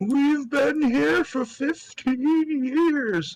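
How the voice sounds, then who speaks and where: A put-on character voice comes through high-pitched and croaky. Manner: sarcastic.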